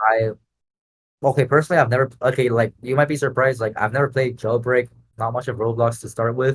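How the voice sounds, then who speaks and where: A man with a Spanish accent speaks very fast at a medium pitch, in a monotone, flat intonation and a somewhat breathy voice. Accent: Spanish-speaking accent in English. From Latin America. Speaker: Roblox game entrepreneur. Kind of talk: podcast interview. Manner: casual, many filler words.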